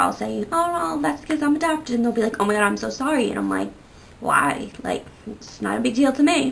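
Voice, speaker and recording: The speaker is a woman going at a fairly quick pace. Background noise is noticeable. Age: 20s. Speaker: vlogger. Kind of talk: casual chat. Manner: casual, many fillers.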